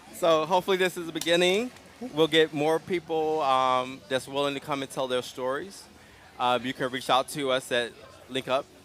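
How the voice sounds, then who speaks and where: With noticeable background noise around him, a man talks at a moderate speed, his fairly high pitch varying in an ordinary way. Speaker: community organization host. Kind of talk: live interview. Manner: calm.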